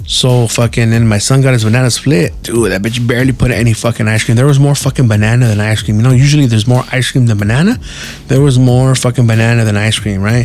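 Very fast American-accented speech, very even in loudness and fairly even in intonation, over noticeable background noise. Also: man, medium pitch for a man. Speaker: podcast host. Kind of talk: casual storytelling monologue.

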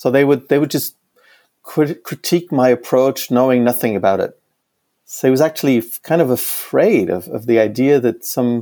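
In a German accent, a man speaks at a medium pitch with a dark, mellow tone. His pace is moderate and his pitch variation ordinary. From Germany. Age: 50s. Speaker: economist and professor. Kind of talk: interview conversation. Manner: halting, many repetitions.

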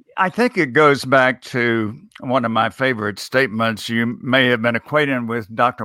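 A bright, sharp-toned man speaks at a moderate pace with a dry, close sound and no echo. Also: very clean recording, silent background. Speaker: speech coach and author. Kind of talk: interview. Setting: live video stream. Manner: clear articulate.

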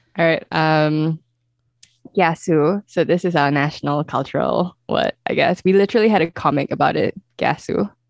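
With a Singaporean accent, a woman talks at a very deep, low pitch with ordinary pitch variation and very even loudness, the sound dry and close with no echo against a quiet background. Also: moderate pace. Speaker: true crime podcast host. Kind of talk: casual chat. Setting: remote call. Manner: animated.

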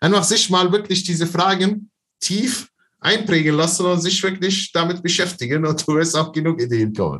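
A man's high-pitched voice at a moderate pace, with ordinary pitch variation and very even loudness. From Palestine, Bethlehem. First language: Arabic (speaking German). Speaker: online seller and business coach. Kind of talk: interview.

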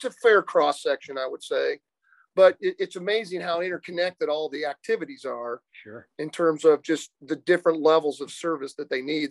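A high-pitched man with a Midwestern American accent, big swings in loudness, and a dry, close sound with no echo. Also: ordinary pitch variation, fairly quick pace. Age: 50s. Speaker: accountant and business owner. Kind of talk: interview.

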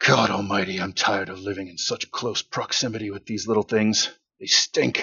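Putting on a character voice, a man talks in a fairly low pitch at a moderate pace.

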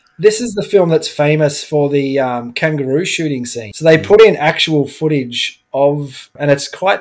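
With an Australian accent, the voice shows ordinary pitch variation. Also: man. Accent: general Australian. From Melbourne, Australia (south-east suburbs). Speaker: pinball bar owner and tournament organiser. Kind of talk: casual chat.

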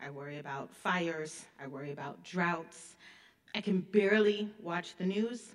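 A woman speaks at a moderate pace in a fairly low pitch, with ordinary pitch variation. Her loudness swings widely, and the room echo is audible. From US Midwest (Illinois). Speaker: history professor. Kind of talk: keynote lecture. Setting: stage with audience.

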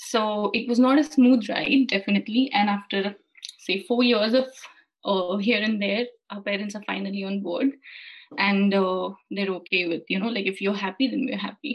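Somewhat breathy and medium in pitch, a woman talks at a moderate pace with ordinary pitch variation. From India. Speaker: freelance content writer. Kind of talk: casual interview.

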